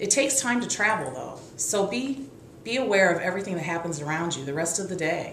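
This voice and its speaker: A woman speaks at a fairly quick pace with lively intonation, and the recording has audible room echo and light background noise. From US Midwest. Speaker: author. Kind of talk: scripted book promotion talk. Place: home room. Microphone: webcam.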